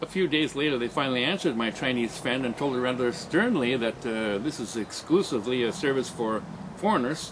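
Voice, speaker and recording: A man talks at a fairly quick pace with a medium pitch. Noticeable background noise runs behind him. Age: 60s. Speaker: video blogger. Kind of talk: scripted narration. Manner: halting.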